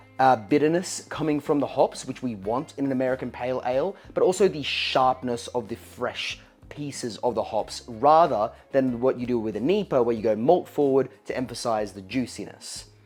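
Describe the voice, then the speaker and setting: Someone with an Australian accent talks at a moderate pace with hardly any pauses. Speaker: home brewing channel host. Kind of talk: brewing tutorial. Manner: casual, chatty.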